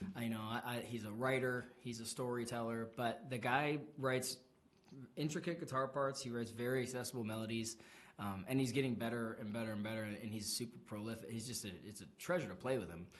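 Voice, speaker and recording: Audible room echo colors a man's medium-pitched voice. He talks at a fairly quick pace with ordinary pitch variation. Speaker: singer-songwriter musician. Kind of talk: radio interview. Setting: radio studio.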